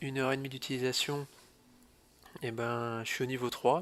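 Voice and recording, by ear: At a moderate pace, a man speaks at medium pitch in a fairly bright tone.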